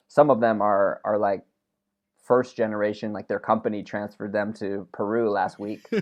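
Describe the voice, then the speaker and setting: A man speaks at a moderate pace. He has an ordinary speaking voice, fairly low in pitch. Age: 30s. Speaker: podcast co-host and event MC. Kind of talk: casual chat.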